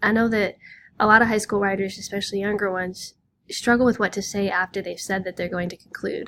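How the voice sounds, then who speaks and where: Speaking very fast with a Southern Illinois accent, a woman keeps a medium pitch and fairly even intonation on a very clean recording with a silent background. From US Midwest, Southern Illinois. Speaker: high school English teacher. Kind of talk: lecture. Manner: casual, with frequent fillers.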